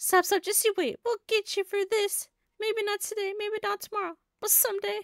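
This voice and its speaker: A woman speaks at a moderate pace in a put-on character voice, extremely high-pitched and flat in intonation, with a dry, close sound and no echo. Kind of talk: comic game voice-over reading. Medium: game stream. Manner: taunting, bratty, boastful.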